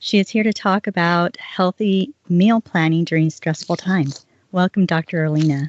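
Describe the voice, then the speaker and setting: Her moderate pace, medium pitch and ordinary pitch variation make for an unremarkable speaking voice from a woman with an American accent. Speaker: podcast host. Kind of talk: interview.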